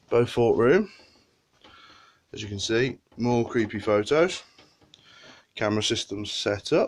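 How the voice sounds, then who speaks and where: A man speaks with a British accent at medium pitch and with ordinary pitch variation. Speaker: paranormal investigator. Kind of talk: walkthrough presentation to camera.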